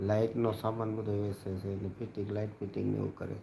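A man's fairly low, somewhat breathy voice with a dark, mellow tone and monotone, flat intonation. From Gujarat, Bhavnagar district. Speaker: livestreamer and local news reporter. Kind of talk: casual live stream chat.

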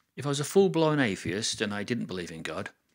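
A man speaks with very wide swings in pitch. The background is quiet. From England. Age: 60s. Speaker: video blogger. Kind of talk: casual monologue to camera. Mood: reflective, earnest. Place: home room. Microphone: studio mic.

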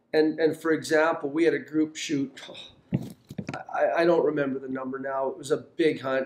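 A man with fairly high pitch talks at a fairly quick pace. Audible room echo can be heard around his voice. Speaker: hunting outfitter and show host. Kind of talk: outdoor show narration and live hunting talk. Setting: outdoors in hunting field. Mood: cheerful, upbeat.

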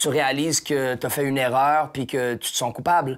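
In a quiet background, a man with a fairly high pitch talks at a moderate pace with fairly even intonation. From Quebec. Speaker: hip-hop artist and painter. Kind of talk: casual interview. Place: home room. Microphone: lapel.

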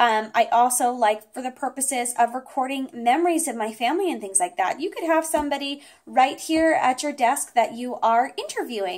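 Her voice is high, and its pitch varies in an ordinary way. The woman speaks against a quiet background. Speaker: product reviewer. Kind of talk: product review talk. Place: home room.

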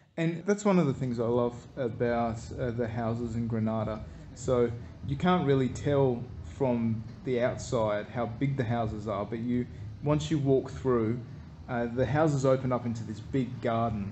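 A man with a dark, mellow, warm tone speaks at a moderate pace, somewhat breathy, with ordinary pitch variation over light background noise. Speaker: travel vlogger. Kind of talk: walking-tour narration describing scenery as they stroll. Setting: outdoors, walking down a street. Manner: easygoing, warm descriptive tone with light hesitations. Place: street. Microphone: phone near.

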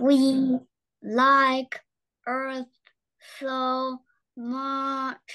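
A put-on, female-sounding character voice, high in pitch, with monotone, flat intonation.

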